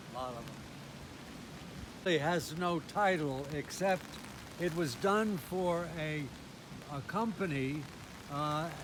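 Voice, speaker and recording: A man speaks very slowly with an American accent. His pitch sits fairly high for a man. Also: ordinary pitch variation. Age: 80s+. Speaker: sculptor, former priest. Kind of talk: casual tour talk to camera. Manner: hesitant, slow with many fillers.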